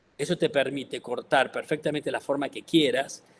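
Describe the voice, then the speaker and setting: A man speaks with a Córdoba accent. His pace is moderate. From Córdoba, Argentina. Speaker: textile artist. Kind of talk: artist talk.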